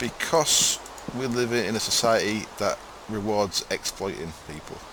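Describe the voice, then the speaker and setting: A man with an East Yorkshire accent, medium in pitch with ordinary pitch variation, at a fairly slow pace amid noticeable background noise. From East Yorkshire, near Hull. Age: 30s. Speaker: gamer streamer. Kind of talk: live stream gameplay commentary. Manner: laid back.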